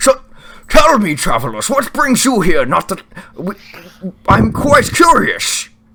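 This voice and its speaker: Using a put-on character voice, a man speaks at an extremely high pitch. He goes at a fairly slow pace with long, frequent pauses. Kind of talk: comic overacting. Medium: actual play. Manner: hearty, old-fashioned courtly speech.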